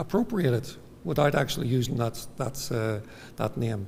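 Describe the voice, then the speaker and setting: In a room with audible echo, a man with a Northern Irish accent speaks at a moderate pace with lively intonation. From Northern Ireland. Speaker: psychiatrist. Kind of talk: lecture. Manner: halting.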